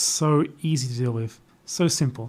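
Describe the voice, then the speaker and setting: In a very clean recording with a silent background, a man with an Australian accent talks at medium pitch and a very slow pace. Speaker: youtuber, live streamer. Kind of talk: casual chat. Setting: live stream from laptop.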